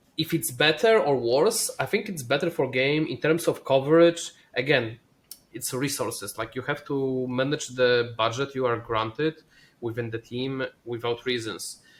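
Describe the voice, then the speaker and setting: A man with a non-native accent speaks at a moderate pace, his medium pitch rising and falling in an ordinary way. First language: not English. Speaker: esports player and caster. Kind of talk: casual chat. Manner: halting.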